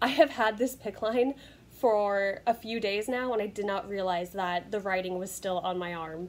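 Her pitch variation is ordinary. The woman speaks at a fairly slow pace. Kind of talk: casual vlog chat. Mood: cheerful, laughs at herself. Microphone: phone near.

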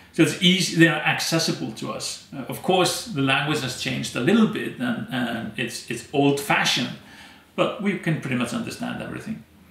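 Fairly high in pitch, a man talks at a fairly quick pace with very wide pitch swings. Room echo is audible. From Iceland, Westfjords; Iceland. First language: Icelandic. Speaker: anthropologist and storyteller; storyteller. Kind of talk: interview. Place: home room.

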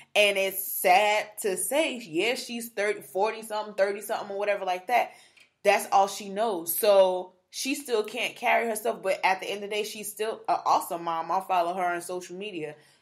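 A woman with a plain, everyday voice at medium pitch, with big swings in loudness, ordinary pitch variation, and a moderate pace. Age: 20s. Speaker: podcast host, blogger in PR. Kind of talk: casual chat.

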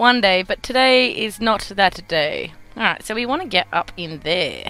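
Over music in the background, a speaker with an Australian accent talks at a moderate pace with lively intonation. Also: woman, fairly high pitch for a woman. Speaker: gaming YouTuber. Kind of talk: let's play gameplay commentary. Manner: casual, chatty.

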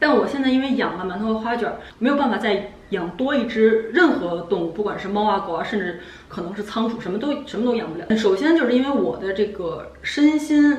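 At a fairly quick pace, a woman with a fairly high pitch speaks with lively intonation amid audible room echo. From China. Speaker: vlogger. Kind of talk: casual chat. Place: home room.

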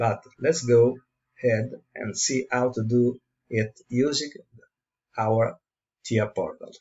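With an Italian accent and a somewhat breathy voice, a man speaks at a very slow pace and medium pitch, with fairly even intonation and long, frequent pauses. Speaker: tutorial presenter. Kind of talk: tutorial. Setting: screen recording. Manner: halting.

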